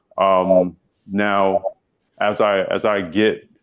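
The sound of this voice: Very slowly, a man speaks at a low pitch with little pitch movement.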